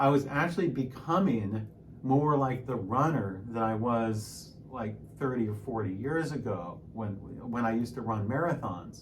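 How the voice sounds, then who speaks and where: Against noticeable background noise and audible room echo, a man speaks at a moderate pace and medium pitch with lively intonation. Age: 60s. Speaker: piano teacher and fitness vlogger. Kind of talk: casual vlog monologue. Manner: hesitant, repeats words.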